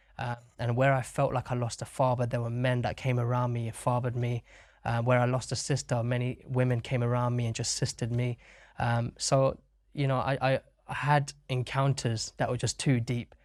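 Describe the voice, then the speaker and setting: A man in a British accent speaks at a moderate pace with monotone, flat intonation. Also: medium pitch for a man. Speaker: worship leader. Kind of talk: interview testimony.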